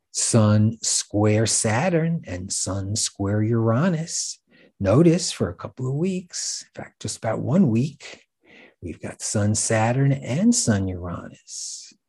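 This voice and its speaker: Somewhat breathy and dark, mellow in tone, a man speaks at a very slow pace with very wide pitch swings. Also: medium pitch for a man. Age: 60s. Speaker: astrologer podcast host. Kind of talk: scripted monologue.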